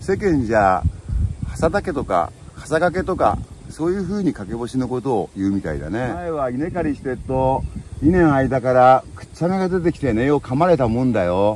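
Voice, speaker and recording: A man speaks at a moderate pace with very wide pitch swings, in dry sound with no echo and light background noise. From Boso Peninsula, Chiba, Japan. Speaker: local farmer explaining dialect. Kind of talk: dialect demonstration, casual talk. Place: farm machine. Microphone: phone near.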